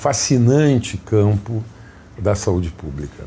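A man's voice comes across dark, mellow and somewhat breathy. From Brazil, Rio Grande do Sul (Jaguari, Santa Maria). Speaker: public health physician. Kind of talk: interview.

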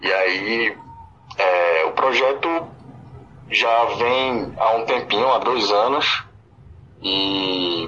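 The speaker is a man who talks at a very slow pace. His pitch variation is ordinary. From Pernambuco sertão, Brazil. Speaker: musician, forró band singer. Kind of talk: radio interview. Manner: halting, with fillers.

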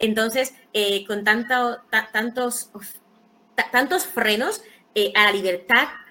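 A woman's bright, sharp voice, fairly high in pitch, at a moderate pace. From Dominican Republic, Santo Domingo. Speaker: writer and poet. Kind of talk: interview. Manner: halting, many repetitions.

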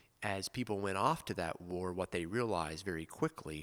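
Very deep, low male voice in a very clean recording against a silent background. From US South. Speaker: priest and podcast co-host.

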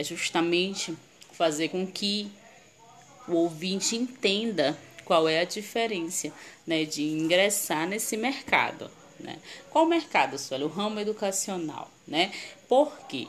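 A woman of medium pitch speaks at a very slow pace. Long, frequent pauses break up her lively intonation. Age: 30s. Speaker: marketing consultant and live-stream host. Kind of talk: online presentation to viewers. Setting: live stream.

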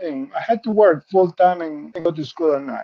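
With a Spanish accent, a man is talking. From Peru. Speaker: insurance benefits specialist. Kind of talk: interview. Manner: calm.

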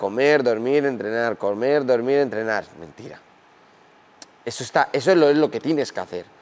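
Over noticeable background noise, a man of medium pitch talks with ordinary pitch variation. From Spain. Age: 20s. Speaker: professional MMA fighter. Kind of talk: interview. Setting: gym.

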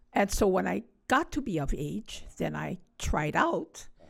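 A woman speaks with a Hawaiian accent. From Hawaii, Honolulu (Kaimuki). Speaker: Hawaiian cultural event organizer and hula practitioner. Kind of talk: casual interview.

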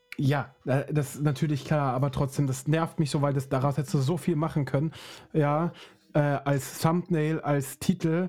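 Over music in the background, a man talks at a moderate pace with very even loudness and fairly even intonation. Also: fairly high pitch for a man. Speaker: podcast host. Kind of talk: casual chat. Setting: studio.

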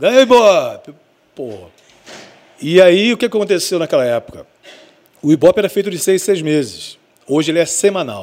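With lively intonation and a high pitch, a man talks at a moderate pace, pausing long and often. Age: 50s. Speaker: radio broadcaster and station owner. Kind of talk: casual interview chat.

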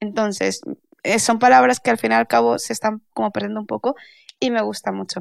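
In a dry, close sound with no echo, a woman speaks fairly quickly. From Spain, Valencia. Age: 30s. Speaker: intellectual property lawyer. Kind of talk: casual interview.

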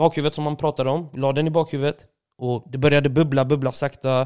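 A man talks with a fairly high pitch. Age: 30s. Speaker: streamer. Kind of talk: casual chat.

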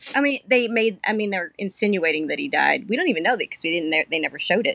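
The voice is a plain, everyday voice with lively intonation, heard as a dry, close sound with no echo. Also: woman. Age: 40s. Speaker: podcast guest, fan of the show. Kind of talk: casual chat.

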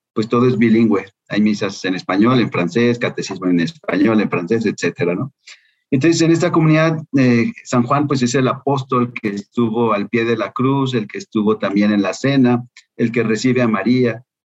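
Recorded dry and close with no echo, a man talks at a moderate pace in a normal speaking voice with a medium pitch and ordinary pitch variation. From Mexico, Guadalajara. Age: 50s. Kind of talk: interview conversation.

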